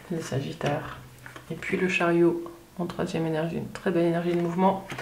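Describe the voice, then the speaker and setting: A woman speaks at a fairly low pitch and moderate pace, calm in tone with monotone, flat intonation and long, frequent pauses. Audible room echo and noticeable background noise fill the recording. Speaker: tarot reader. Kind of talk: tarot reading monologue. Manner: hesitant, many fillers.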